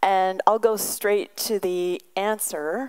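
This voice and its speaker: The background stays quiet while a woman talks. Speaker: visiting professor giving a lecture. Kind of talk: lecture. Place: hall. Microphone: podium.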